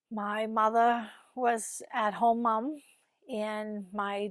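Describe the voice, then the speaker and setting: A woman talks in a calm tone with a fairly high pitch and flat, monotone intonation. The recording is very clean, with a silent background. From Massachusetts, Winthrop near Boston. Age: 50s. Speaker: office worker, interviewee. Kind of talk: interview. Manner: calm, quiet.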